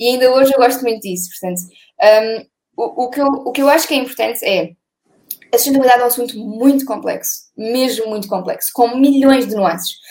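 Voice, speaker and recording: Speaking at a fairly quick pace, a woman has a high pitch and ordinary pitch variation. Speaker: sustainability blogger. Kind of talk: interview. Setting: video call.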